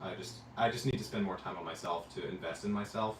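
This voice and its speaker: Noticeable background noise and audible room echo surround a man with an American accent. He speaks at a moderate pace and a fairly low pitch. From US South. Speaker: travel vlogger. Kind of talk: casual chat. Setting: livestream from hotel room.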